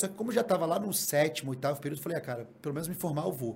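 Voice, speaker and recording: The speaker goes very fast, with lively intonation and a somewhat breathy sound. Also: man. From Guarapari, Espírito Santo, Brazil. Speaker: reality TV contestant. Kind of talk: casual chat.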